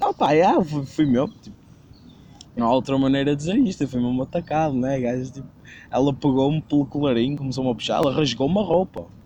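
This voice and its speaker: With a European Portuguese accent, a man talks at a fairly quick pace in a dark, mellow, fairly high voice with ordinary pitch variation and long, frequent pauses. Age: 20s. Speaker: podcast host. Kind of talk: casual chat.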